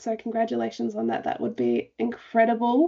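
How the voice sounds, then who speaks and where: A woman speaks with an Australian accent. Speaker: racing show host. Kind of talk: casual panel chat.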